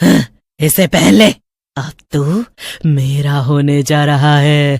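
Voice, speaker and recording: Shouting in a cartoonish character voice, the speaker keeps a low-to-middle pitch at a fairly slow pace. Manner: mocking, menacing, cackling.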